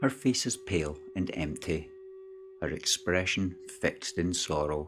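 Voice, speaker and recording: With music in the background, a man's very deep, low voice moves at a fairly slow pace, calm and gentle in tone yet with lively intonation. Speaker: storyteller. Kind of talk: sleep story. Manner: calm, slow, gentle.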